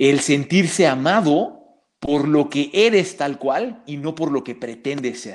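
A man with a normal speaking voice and lively intonation on a very clean recording with a silent background. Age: 30s. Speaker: psychologist and martial arts teacher. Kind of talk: casual interview.

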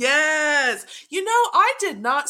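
A woman speaks with an American accent, her tone bright and sharp. Her intonation is lively, and the recording is very clean with a silent background. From Texas. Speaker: guest, motorsport fan. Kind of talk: casual chat.

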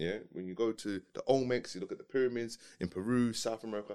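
A man speaks at a very fast pace in a medium pitch. His pitch varies in an ordinary way. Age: 30s. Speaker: podcast co-host. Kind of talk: casual chat.

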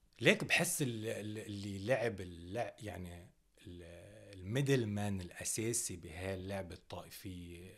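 Speech comes at a very slow pace. There is audible room echo. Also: man. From northern Lebanon (Tripoli, Dinniyeh). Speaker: rapper. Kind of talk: interview.

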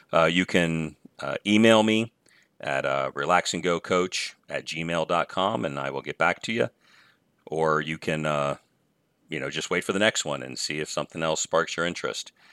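At a moderate pace, a man speaks with a very deep, low pitch, ordinary pitch variation, a bright, sharp tone and vocal fry. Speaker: podcast host. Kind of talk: solo podcast monologue on self-improvement.

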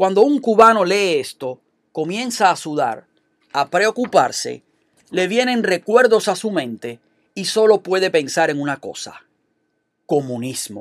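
A man's voice with lively intonation at a fairly slow pace, dry and close with no echo, on a very clean recording with a silent background. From Cuba. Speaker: political commentator. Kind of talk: scripted opinion commentary.

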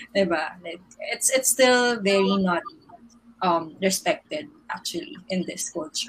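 A woman with a medium pitch speaks at a fairly slow pace, her pitch swinging very widely and her loudness shifting a lot, over noticeable background noise. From Philippines. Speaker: digital marketer. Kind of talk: casual chat.

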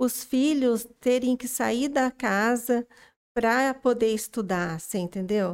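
On a very clean recording with a silent background, a woman with a high pitch speaks at a very slow pace. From rural São Paulo state, near Minas Gerais border. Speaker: makeup artist. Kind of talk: casual interview.

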